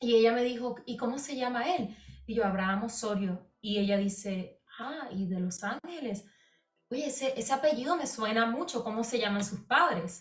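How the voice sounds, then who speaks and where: An ordinary speaking voice from a woman, fairly high, with lively intonation at a moderate pace. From Puerto Rico. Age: young. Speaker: singer. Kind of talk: casual interview.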